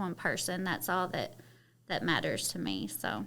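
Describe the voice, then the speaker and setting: This woman has a bright, sharp tone and a medium pitch, with some vocal fry. She speaks with a Kentucky accent. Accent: Southern Kentucky. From Kentucky, Harlan County (Appalachia). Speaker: model, actress and media entrepreneur. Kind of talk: casual interview chat. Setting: studio.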